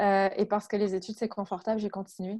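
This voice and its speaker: A woman speaks at a fairly quick pace in a medium pitch, her intonation monotone and flat, with a dark, mellow tone against a quiet background. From France. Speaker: HR and agile coach. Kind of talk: interview.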